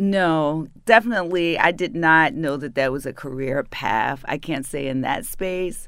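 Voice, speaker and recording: A woman with a northern US accent speaks at a fairly slow pace in a very deep, low pitch, with lively intonation and hardly any pauses. The recording is very clean, with a silent background. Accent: northern US accent, often taken for New York. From Baltimore, Maryland. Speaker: city arts and culture advisor, former PR executive. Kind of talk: interview.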